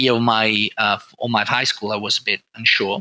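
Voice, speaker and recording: A man talks fairly quickly at medium pitch, his tone bright and sharp. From northern Italy, Turin. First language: Italian. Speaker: oncologist. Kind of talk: interview. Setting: podcast recording. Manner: halting.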